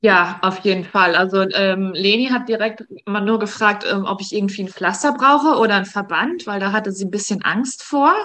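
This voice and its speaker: A woman talks at a moderate pace with hardly any pauses, her medium-pitched voice bright and sharp in tone, with ordinary pitch variation. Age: 40s. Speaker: breast cancer survivor. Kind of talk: interview.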